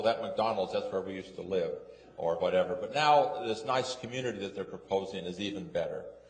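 A man talks fairly quickly with an American accent. Room echo is audible, and there is noticeable background noise. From West Jordan, Utah. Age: 70s. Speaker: resident speaking at public hearing. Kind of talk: public comment at city council. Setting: city council meeting. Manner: halting.

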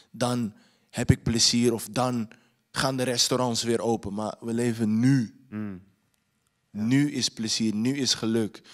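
Against a quiet background, the speech comes very slowly in a flat monotone. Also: man. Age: young. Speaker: filmmaker and actor; filmmaker on panel. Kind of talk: panel interview; panel discussion answer. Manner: halting. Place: hall. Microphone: handheld.

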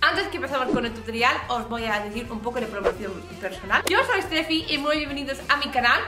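A woman speaks at a fairly quick pace in a raised, projected voice. Clear music plays in the background. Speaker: craft youtuber. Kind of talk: casual vlog chat. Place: home room.

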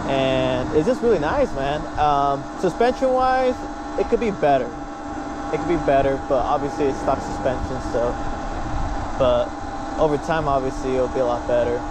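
A man with long, frequent pauses, a dry sound with no echo and loud background noise. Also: moderate pace. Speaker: rider vlogger. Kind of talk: casual vlog chat. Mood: relaxed, positive. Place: motorbike.

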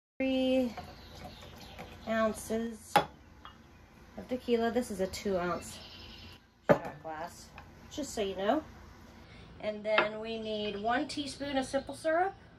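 A woman at a very slow pace, with long, frequent pauses, against loud background noise. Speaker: RV camper hosting a cocktail segment. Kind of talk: tutorial. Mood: playful, upbeat. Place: home room. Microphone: camera far.

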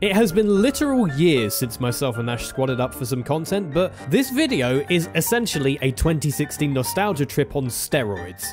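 With music in the background, a man talks at a moderate pace with hardly any pauses. His fairly high voice swings very widely in pitch. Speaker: gaming YouTuber. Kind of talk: casual gaming chat with friends.

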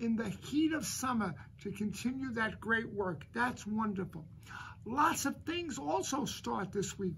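Over light background noise, a man speaks at a fairly slow pace with very wide pitch swings. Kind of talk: morning announcements to school community. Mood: warm, upbeat. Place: office. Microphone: phone near.

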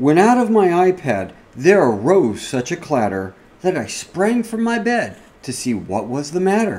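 A man speaks at a fairly slow pace in a high voice. His tone is playful, with very wide pitch swings. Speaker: cybersecurity podcast host. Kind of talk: fireside reading of a Christmas parody poem. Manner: storytelling cadence, rhythmic and playful. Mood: playful, cozy storytelling.

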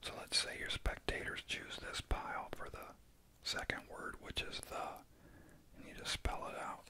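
Whispering, soft-spoken speech comes at a moderate pace over light background noise. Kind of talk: tutorial. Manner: soft whispered ASMR narration.

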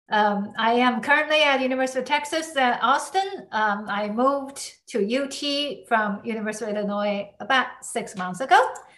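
Against a quiet background, a woman with a high pitch and lively intonation talks at a moderate pace with hardly any pauses. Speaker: semiconductor researcher; speaker. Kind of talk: academic talk.

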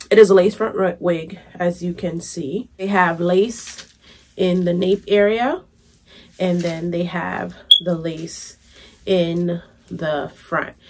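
Against noticeable background noise, a woman with a fairly low pitch speaks at a very slow pace with fairly even intonation. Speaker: beauty vlogger. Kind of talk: product review vlog. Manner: casual, chatty.

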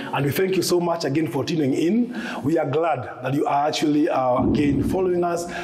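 A man is talking, his pace moderate. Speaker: show host. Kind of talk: host introduction to discussion. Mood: warm, light laughter. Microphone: lapel.

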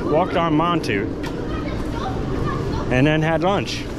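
Crowd noise fills the background as a man speaks. The sound itself is dry, with no echo. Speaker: theme park vlogger. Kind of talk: casual vlog chat. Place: street. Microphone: phone near.

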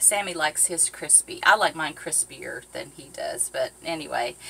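A woman's voice with very wide pitch swings. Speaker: boating vlogger. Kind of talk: casual cooking vlog chat. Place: boat. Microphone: camera far.

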